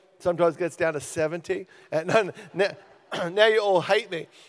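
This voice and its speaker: Animated tone in an Australian accent at a moderate pace. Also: man. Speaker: guest preacher. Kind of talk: sermon. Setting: church.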